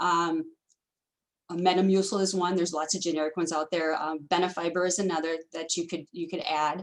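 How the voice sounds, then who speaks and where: At a fairly quick pace, a woman speaks at a fairly low pitch in a monotone, flat intonation. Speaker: dietitian presenter. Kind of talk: webinar presentation. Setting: video call. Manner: fast.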